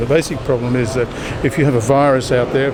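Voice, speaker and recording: A man at medium pitch with an Australian accent, talking very fast over noticeable background noise. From Australia (Sydney). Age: 70s. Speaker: periodontist. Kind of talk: street interview. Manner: assertive.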